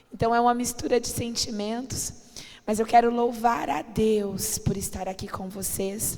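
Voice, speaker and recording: A woman with a fairly high pitch talks at a fairly slow pace and fairly even intonation, with audible room echo and noticeable background noise. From Brazil, family from the Northeast. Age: 30s. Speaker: pastor. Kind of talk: sermon. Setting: church.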